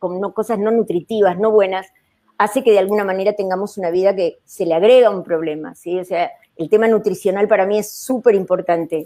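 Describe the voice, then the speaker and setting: A woman with a dark, mellow tone and medium pitch talks at a fairly quick pace with fairly even intonation. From Argentina. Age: 60s. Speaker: psychiatrist. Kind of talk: panel discussion. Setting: live video stream.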